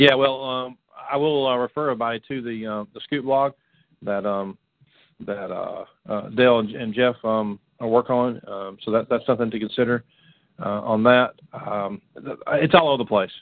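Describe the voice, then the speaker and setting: A plain, everyday voice with an American accent. It moves at a moderate pace with fairly even intonation. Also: man, medium pitch for a man. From Florida. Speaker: radio show co-host, youth ministry. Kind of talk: casual chat.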